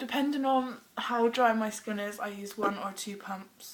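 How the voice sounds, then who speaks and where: A woman with a British accent at a very slow pace, fairly high in pitch with ordinary variation, over noticeable background noise. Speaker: beauty vlogger. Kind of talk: makeup tutorial. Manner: casual, hesitant with ums.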